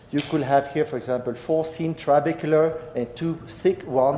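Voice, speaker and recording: A man in a French-Swiss accent talks at a moderate pace with ordinary pitch variation. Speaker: professor. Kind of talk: lecture.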